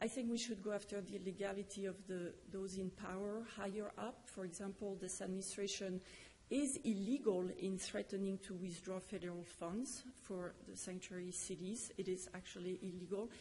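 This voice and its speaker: Someone with a French accent speaks at a moderate pace with fairly even intonation and hardly any pauses, over noticeable background noise. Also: woman, medium pitch for a woman. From France. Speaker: public commenter. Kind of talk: public testimony. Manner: halting.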